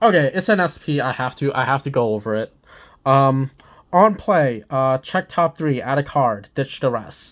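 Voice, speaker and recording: The pace is moderate on a very clean recording with a silent background. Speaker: card game youtuber. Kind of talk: unboxing commentary. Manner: hesitant, many fillers.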